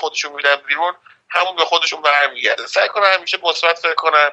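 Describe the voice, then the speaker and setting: A man speaks with a high-pitched voice. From Iran, Mashhad. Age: 30s. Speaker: food critic and web developer. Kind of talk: casual interview.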